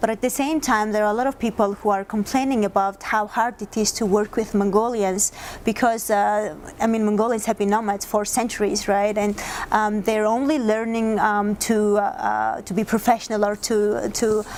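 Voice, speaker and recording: Her pitch fairly high, a woman talks at a moderate pace in a monotone, flat intonation. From Mongolia. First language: Mongolian. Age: young. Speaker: interviewer. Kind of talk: interview. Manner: halting, many fillers.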